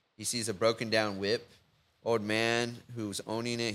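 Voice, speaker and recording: A man with a Texan accent on a very clean recording with a silent background. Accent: Texan American. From Victoria, Texas. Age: 20s. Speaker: web designer and entrepreneur. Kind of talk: casual chat.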